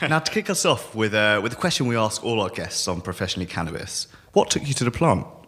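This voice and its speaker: A man with a British accent talks at a very fast pace, at medium pitch. His pitch swings very widely over noticeable background noise. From UK. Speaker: podcast host. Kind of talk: interview podcast.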